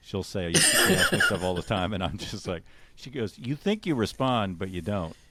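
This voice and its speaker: Man with a fairly low pitch and ordinary pitch variation, moderate pace, noticeable background noise. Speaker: radio station consultant. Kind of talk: interview podcast. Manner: mumbling; radio announcer delivery.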